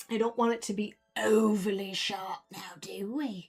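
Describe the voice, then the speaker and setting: The put-on character voice is raspy and moves at a moderate pace. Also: woman, medium pitch for a woman. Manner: playful, mischievous.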